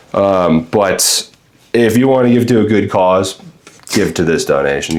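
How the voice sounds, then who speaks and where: A man speaks with an American accent and ordinary pitch variation. Background noise is noticeable. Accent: Long Island accent hidden, barely audible. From Long Island, New York (Freeport). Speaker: charity volunteer, painting guest. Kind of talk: casual podcast chat. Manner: hesitant, many fillers.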